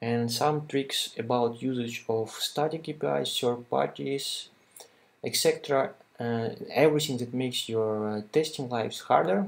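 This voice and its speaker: A man with a non-native accent, medium pitch, ordinary pitch variation and a moderate pace. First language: not English. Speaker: software developer. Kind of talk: tutorial. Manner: halting, many fillers.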